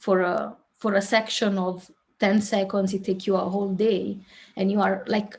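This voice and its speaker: With an Italian accent, a woman speaks in a somewhat breathy, medium-pitched voice at a moderate pace, her intonation monotone and flat. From southern Italy. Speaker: filmmaker. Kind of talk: interview.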